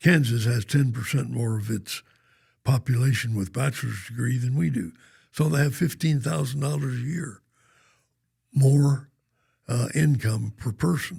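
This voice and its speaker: With an American accent, a man talks at a moderate pace and medium pitch in a dark, mellow tone that is somewhat breathy. His pitch varies in an ordinary way, and he leaves long, frequent pauses. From Oklahoma (Norman). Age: 90s (95). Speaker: banker and philanthropist. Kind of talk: podcast interview.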